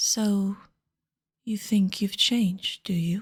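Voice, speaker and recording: A woman uses a put-on character voice at a medium pitch. She speaks very slowly in a monotone, flat intonation. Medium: virtual streamer. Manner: curt, short remarks.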